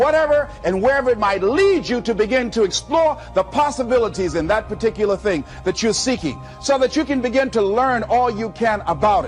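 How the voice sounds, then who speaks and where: A man talks at a high pitch and a fairly quick pace with ordinary pitch variation. He barely pauses, and music plays in the background. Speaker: motivational speaker. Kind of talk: motivational speech. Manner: high-energy, dynamic.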